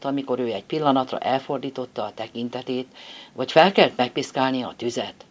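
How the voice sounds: The text is delivered in a natural reading voice. That voice holds for the whole recording.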